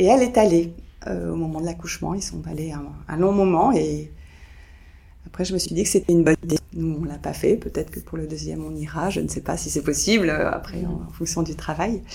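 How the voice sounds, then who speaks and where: A fairly quick pace with big swings in loudness over noticeable background noise. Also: woman. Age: 50s. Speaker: grandmother. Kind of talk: testimony. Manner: halting.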